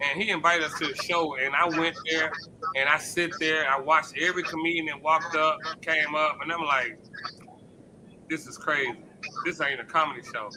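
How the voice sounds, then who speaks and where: This man speaks fairly quickly with an American accent, leaving long, frequent pauses over noticeable background noise. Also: fairly high pitch for a man. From Memphis, US South. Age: 50s. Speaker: podcast host and comedian. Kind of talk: casual chat. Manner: animated.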